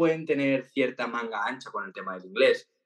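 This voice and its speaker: A man's ordinary speaking voice, medium in pitch with lively intonation. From Valencia, Spain. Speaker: TikTok content creator. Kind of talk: interview.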